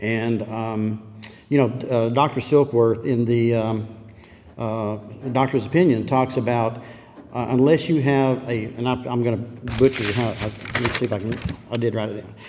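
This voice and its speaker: With noticeable background noise, a man with an American accent talks at a moderate pace. His pitch is medium and his intonation fairly even. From Texas, Dallas. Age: 70s. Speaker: recovering alcoholic speaker. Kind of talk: recovery meeting testimony. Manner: halting.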